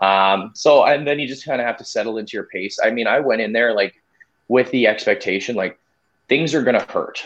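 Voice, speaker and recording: Here is an ordinary speaking voice from a man with a Canadian accent. He talks at a fairly quick pace with ordinary pitch variation. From Winnipeg, Manitoba, Canada. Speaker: amateur ultramarathon runner. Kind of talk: casual interview. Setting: live stream.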